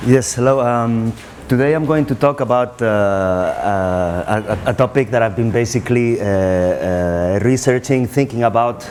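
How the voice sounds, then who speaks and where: A man speaks with ordinary pitch variation. Noticeable background noise runs behind him. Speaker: researcher on ayahuasca, NGO worker. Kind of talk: conference talk. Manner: very fast.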